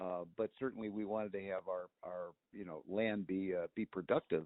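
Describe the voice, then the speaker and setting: A man with a very deep, low voice speaks at a moderate pace. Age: 70s. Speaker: retired homestead founder. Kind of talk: family interview. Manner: halting, many fillers.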